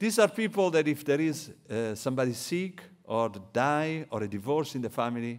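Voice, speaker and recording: A man with an Italian accent, a fairly high pitch and very wide pitch swings, at a moderate pace, in a very clean recording with a silent background. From Italy. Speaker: economist. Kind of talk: lecture.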